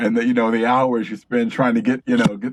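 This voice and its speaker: In an American accent, a man talks at a fairly quick pace with medium pitch and fairly even intonation. His is an unremarkable speaking voice, heard in a dry, close sound with no echo. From Detroit, US Midwest. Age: 50s. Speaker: author and filmmaker. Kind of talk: interview conversation.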